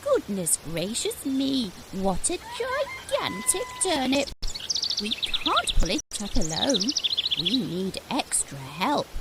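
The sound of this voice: Set against clear background noise, a woman puts on a cartoonish character voice and speaks at a very slow pace.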